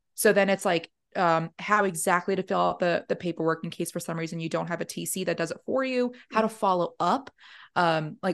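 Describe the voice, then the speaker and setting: Against a quiet background, a speaker with an American accent talks at a moderate pace in a normal speaking voice. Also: woman. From New York. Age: 30s. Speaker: real estate agent, Air Force veteran. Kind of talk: casual interview chat.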